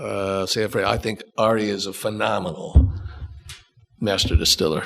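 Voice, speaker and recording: A man with a fairly low pitch, fairly even intonation and a moderate pace, with music in the background. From Ohio. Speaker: musician and producer, bourbon brand founder. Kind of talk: casual podcast interview.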